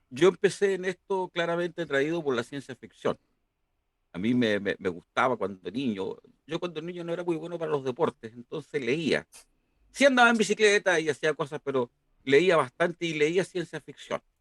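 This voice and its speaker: With an unremarkable speaking voice, a man talks at a moderate pace in a fairly high pitch and lively intonation, the sound dry and close with no echo. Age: 60s. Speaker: university professor. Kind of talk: interview. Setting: live stream.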